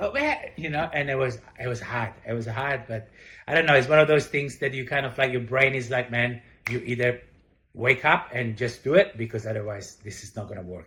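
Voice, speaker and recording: A man with an Italian accent, medium in pitch and fairly quick, bright and sharp in tone, with ordinary pitch variation and big swings in loudness. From Italy. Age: 40s. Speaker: chef and restaurant owner. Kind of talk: interview. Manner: halting, many fillers.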